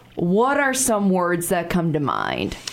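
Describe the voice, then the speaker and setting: Noticeable background noise accompanies a woman with an American accent and medium pitch. She speaks at a fairly slow pace with lively intonation. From Chicago. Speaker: radio talk show host. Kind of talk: radio interview. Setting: studio.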